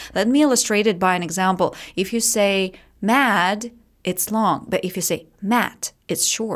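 A woman with a Russian accent speaks at a fairly slow pace in a medium pitch. Her pitch varies in an ordinary way, and the very clean recording has a silent background. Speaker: English teacher and methodologist. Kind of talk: casual interview chat.

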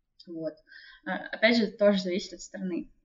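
A woman speaks at a moderate pace, her voice somewhat breathy. Her intonation is lively. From Russia. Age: 20s. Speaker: BIM developer. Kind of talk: interview.

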